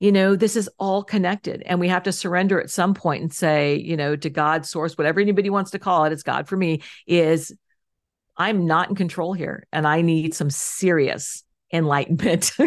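An unremarkable speaking voice moves at a moderate pace with fairly even intonation against a quiet background. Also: woman, fairly low pitch for a woman. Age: 50s. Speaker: life coach and entrepreneur. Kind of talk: interview conversation.

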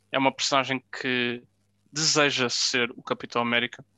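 Set against a quiet background, the delivery moves fairly slowly. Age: 20s. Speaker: podcast co-host. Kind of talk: casual chat.

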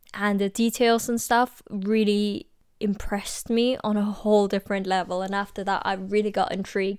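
Flat, monotone delivery at a moderate pace, on a very clean recording with a silent background. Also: woman, medium pitch for a woman. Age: 20s. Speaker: podcast host, pastry chef. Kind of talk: casual monologue. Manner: hesitant, frequent ums and laughs.

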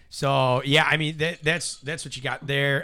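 Speaking with an American accent, a man uses a bright, sharp tone at a moderate pace. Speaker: podcast host and comedian. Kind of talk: casual chat. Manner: loud.

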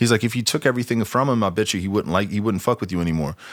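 Lively intonation runs through a man's normal speaking voice at a fairly low pitch. The recording is very clean, with a silent background. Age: 40s. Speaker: podcast host. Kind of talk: casual chat.

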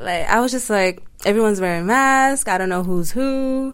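A woman with an ordinary speaking voice talks at a moderate pace. Her voice is fairly high, with lively intonation. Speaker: university student. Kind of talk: casual chat.

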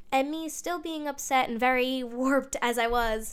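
Her pitch sits high for a woman, and her intonation stays fairly even. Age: 20s. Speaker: podcaster. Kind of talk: personal monologue. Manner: talkative.

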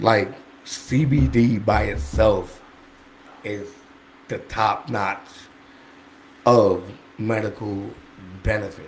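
With long, frequent pauses, a man speaks at a very slow pace in a fairly low pitch that shows ordinary variation. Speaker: medical cannabis dispensary liaison. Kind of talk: casual chat. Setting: podcast studio.

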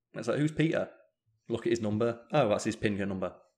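A man with a British accent talks at a fairly quick pace in a medium pitch with ordinary pitch variation, captured in a very clean recording with a silent background. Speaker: gaming podcaster and streamer. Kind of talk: casual chat. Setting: home living room, live stream, slightly echoey. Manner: calm, quieter on podcasts.

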